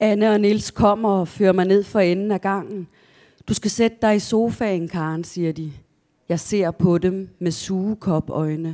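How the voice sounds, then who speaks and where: In a very clean recording with a silent background, a woman with a plain, everyday voice speaks at medium pitch with fairly even intonation. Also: fairly slow pace. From southern Jutland, Denmark (near Kolding). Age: 50s. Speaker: novelist. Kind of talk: author talk with readings from own novel. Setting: library event with live audience.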